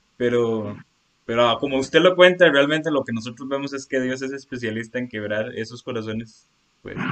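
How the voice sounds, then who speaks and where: A man speaks in a plain, everyday voice at a medium pitch and a moderate pace. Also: ordinary pitch variation. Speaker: church youth leader. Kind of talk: scripted narration. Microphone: original audio had problems.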